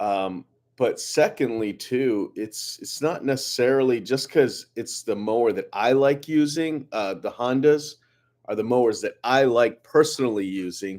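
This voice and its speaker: A very clean recording with a silent background, where the speaker talks at a fairly slow pace with ordinary pitch variation. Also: man, medium pitch for a man. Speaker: lawn care business owner. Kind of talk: live stream Q&A. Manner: casual, halting with fillers; loud.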